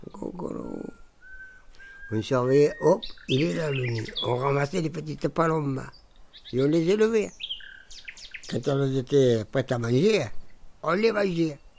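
A man at a very slow pace with long, frequent pauses and lively intonation, noticeable background noise behind him. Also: fairly high pitch for a man. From Montpellier, southern France. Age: 70s. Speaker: retired winegrower. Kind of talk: casual chat.

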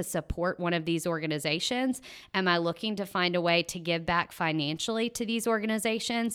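A woman's medium-pitched voice with a Mississippi accent, bright and sharp in tone, on a very clean recording with a silent background. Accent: Mississippi Southern. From US South, Tupelo, Mississippi. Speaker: nonprofit project manager. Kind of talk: interview.

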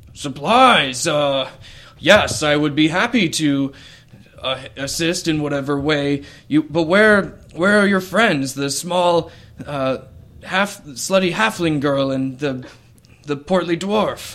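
A man puts on a gruff character voice, raised and projected, at a fairly high pitch. He speaks at a fairly slow pace. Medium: actual play. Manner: warm, hearty.

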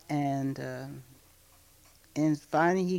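A woman with an American accent speaks at a very slow pace. Her pitch is very deep and low, and her tone is dark and mellow. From Greencastle, Indiana. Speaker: singer and social worker. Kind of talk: interview. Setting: at home.

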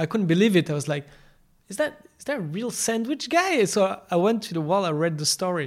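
The speaker talks at a fairly quick pace in a French accent. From France. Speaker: podcast host. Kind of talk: casual interview.

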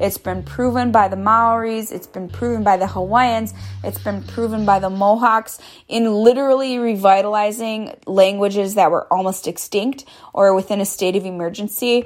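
Her medium-pitched voice moves at a moderate pace with ordinary pitch variation as the woman speaks. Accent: American. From US Midwest, Oneida Nation of Wisconsin. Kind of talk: interview. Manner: hesitant with frequent um.

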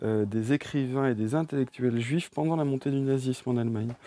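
A man's medium-pitched voice with a dark, mellow tone, fairly even intonation, and a fairly quick pace, on a very clean recording with a silent background. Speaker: bookseller. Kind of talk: interview. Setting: bookshop stockroom.

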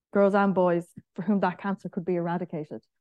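A woman with an Irish accent, a dark, mellow tone, monotone, flat intonation and a fairly quick pace, in a dry, close sound with no echo and a quiet background. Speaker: senator. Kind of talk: panel talk. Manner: casual.

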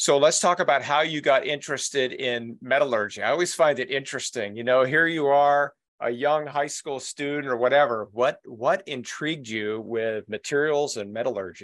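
In an unremarkable speaking voice, a man talks at a moderate pace with a fairly high pitch and hardly any pauses against a quiet background. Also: ordinary pitch variation. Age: 60s. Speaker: podcast host and trade magazine publisher. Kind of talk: interview.

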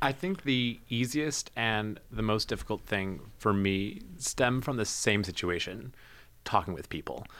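This is a plain, everyday voice with an American accent and lively intonation. It moves at a fairly slow pace in a very clean recording with a silent background. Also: man. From New Jersey. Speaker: public health graduate student. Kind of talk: casual chat. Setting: studio.

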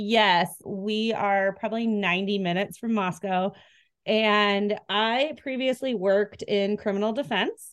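Against a quiet background, a woman with an American accent talks in an animated tone at a fairly slow pace. Her pitch is medium and her loudness very even. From US Pacific Northwest. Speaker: co-host, attorney. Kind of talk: casual chat. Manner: animated, excitable.

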